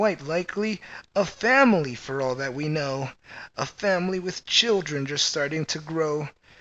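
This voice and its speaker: A man speaks in a put-on character voice. His pitch sits fairly high. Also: moderate pace. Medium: read story. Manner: earnest, kindly.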